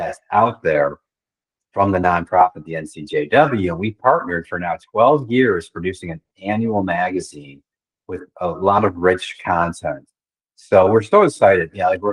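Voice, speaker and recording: In a normal speaking voice, a man speaks at a moderate pace, with big swings in loudness and ordinary pitch variation. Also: dry, close sound with no echo. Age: 60s. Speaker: magazine publisher. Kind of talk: casual chat.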